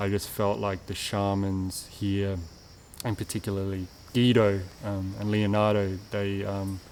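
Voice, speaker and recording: With an Australian accent, a man speaks fairly slowly in a fairly low pitch and a monotone, flat intonation. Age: 20s. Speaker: retreat participant. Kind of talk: testimony. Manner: halting, many fillers and repetitions.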